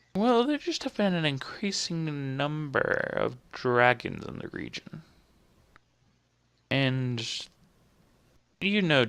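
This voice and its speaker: A put-on character voice at a middle pitch. It moves at a very slow pace with long, frequent pauses. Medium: actual play.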